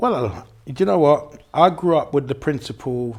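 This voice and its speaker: This man speaks with a London accent. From London, England. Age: 60s. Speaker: car mechanic and cancer awareness ambassador. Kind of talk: interview.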